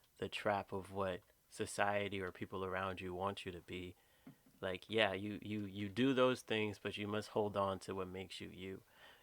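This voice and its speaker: A man speaks at a moderate pace in a fairly low pitch, his intonation flat and monotone, on a very clean recording with a silent background. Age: 20s. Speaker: podcast co-host. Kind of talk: casual chat.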